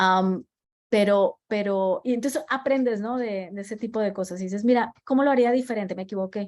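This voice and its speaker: A woman with a Colombian accent talks at a moderate pace with fairly high pitch and ordinary pitch variation, on a very clean recording with a silent background. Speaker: design leader. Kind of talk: talk with audience Q&A. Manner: halting with many fillers and repetitions.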